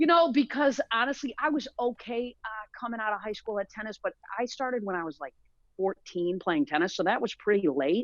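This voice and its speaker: With an animated tone, a woman speaks at a fairly quick pace in a fairly high voice that swings very widely in pitch. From US Midwest, East Lansing, Michigan. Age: 40s. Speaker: former sports agent and speaker. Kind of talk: interview.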